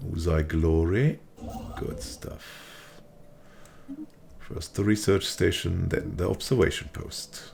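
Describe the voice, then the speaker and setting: Over noticeable background noise, a man with a very deep, low pitch speaks very slowly in a relaxed tone, his intonation lively, his loudness swinging widely, and his pauses long and frequent. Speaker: gaming video creator. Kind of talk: let's play commentary. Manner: casual, relaxed.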